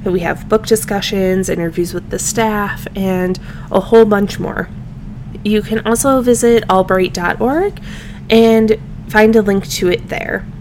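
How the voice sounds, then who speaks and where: A woman speaks at a medium pitch, fairly slowly and with fairly even intonation. There is noticeable background noise. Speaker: podcast host and reference librarian. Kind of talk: casual interview.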